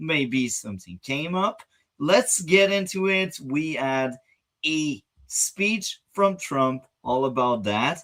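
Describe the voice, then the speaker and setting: The speaker has a non-native accent. The delivery comes at a very slow pace. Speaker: reaction channel host. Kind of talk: casual talk to camera.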